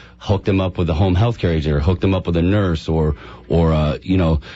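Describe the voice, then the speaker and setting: Over music in the background, a man talks in a very deep, low voice with fairly even intonation. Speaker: healthcare patient advocate, company representative. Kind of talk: radio talk show guest interview answer. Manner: conversational, hesitant with filler words.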